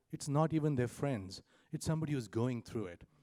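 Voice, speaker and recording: Heard in a dry, close sound with no echo, a man with an Indian accent speaks at a fairly high pitch in a dark, mellow tone with lively intonation. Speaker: startup founder. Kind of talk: conference panel presentation. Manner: fast.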